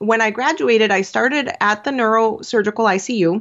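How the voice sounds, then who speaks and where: A woman's ordinary speaking voice, fairly quick, with ordinary pitch variation. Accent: American. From Venezuela, raised in the US. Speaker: business coach, former nurse. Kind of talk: interview conversation.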